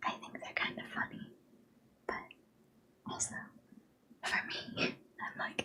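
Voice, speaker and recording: Someone whispers with long, frequent pauses. Noticeable background noise is present. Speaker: live streamer. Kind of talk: casual chatting to stream viewers.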